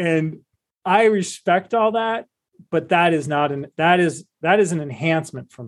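Here a man talks with a Midwestern American accent. His pitch is high. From Cleveland, Ohio. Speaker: investment advisor and author. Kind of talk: casual interview.

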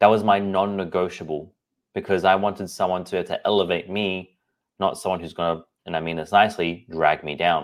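A man with an Australian accent, very deep, low pitch, fairly quick pace and monotone, flat intonation, on a very clean recording with a silent background. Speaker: podcast host and personal trainer. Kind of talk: solo podcast monologue.

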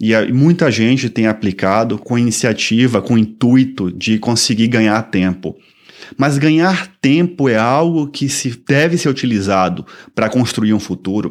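In a very clean recording with a silent background, a man with a plain, everyday voice speaks at a fairly slow pace and a medium pitch, his intonation lively and his loudness very even. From Brazil, Salvador, Bahia. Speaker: podcast host and immigration consultant. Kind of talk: informational podcast monologue. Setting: studio.

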